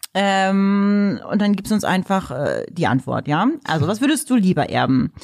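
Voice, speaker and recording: The voice makes very wide pitch swings at a fairly slow pace while its loudness stays very even. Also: woman, medium pitch for a woman. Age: 30s. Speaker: podcast co-host. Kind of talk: casual chat.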